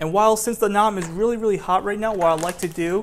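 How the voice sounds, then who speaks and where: A man is speaking with fairly even intonation. Light background noise can be heard. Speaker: home cook vlogger. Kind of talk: cooking tutorial. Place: kitchen.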